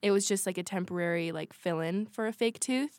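With an American accent and a plain, everyday voice, a woman speaks at a medium pitch and fairly even intonation on a very clean recording with a silent background. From Washington State. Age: young. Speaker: podcast co-host, college student. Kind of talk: casual chat.

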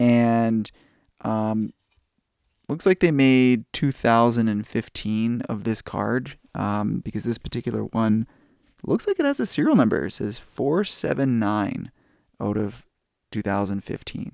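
A man speaks at a fairly slow pace with a Canadian accent, using a plain, everyday voice at medium pitch with ordinary pitch variation, in a dry, close, echo-free recording that is very clean with a silent background. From Canada. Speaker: podcast host, card collector. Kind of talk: casual podcast talk. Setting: home recording at night.

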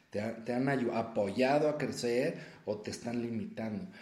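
Audible room echo surrounds a man whose somewhat breathy voice has a dark, mellow tone and a very slow pace. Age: 40s. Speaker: self-help coach and podcast host. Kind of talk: solo motivational talk. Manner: conversational with many filler words.

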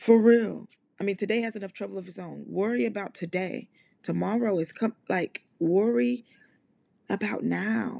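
In an ordinary speaking voice of medium pitch, a woman talks at a moderate pace with lively intonation and big swings in loudness, the sound dry and close with no echo. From US South, Mississippi. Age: 30s. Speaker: podcast host. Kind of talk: motivational solo monologue. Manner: casual, conversational.

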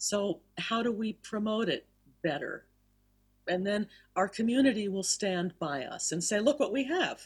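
Somewhat breathy, a woman speaks at a fairly high pitch with an American accent. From US South, Miami. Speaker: cantor and singing teacher. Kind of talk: interview. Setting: video call.

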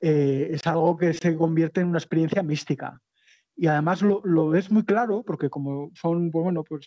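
Speaking at a moderate pace with an Aragonese accent, a man uses a high pitch for his sex. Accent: Aragonese Spanish (Spain). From Spain, Zaragoza (Aragon). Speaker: long-distance cycle traveller and author. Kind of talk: interview. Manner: halting, frequent repetitions.

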